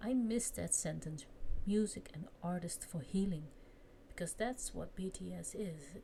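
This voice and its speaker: Speaking at a fairly slow pace with a non-native accent, a woman uses a medium-pitched, somewhat breathy voice with a dark, mellow tone and ordinary pitch variation. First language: not English. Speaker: vlogger. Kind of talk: casual chat. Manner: halting.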